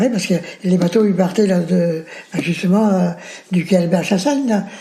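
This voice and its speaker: A man with a high pitch speaks at a moderate pace with ordinary pitch variation and very even loudness, over noticeable background noise. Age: 80s+. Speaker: retired factory worker, war veteran. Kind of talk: oral history interview. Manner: casual, halting with many fillers.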